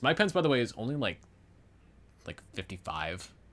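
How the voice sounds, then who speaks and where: Here a man talks at a fairly quick pace, his tone bright and sharp with vocal fry. His pitch swings very widely. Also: very clean recording, silent background. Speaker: podcast host. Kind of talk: casual chat. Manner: halting.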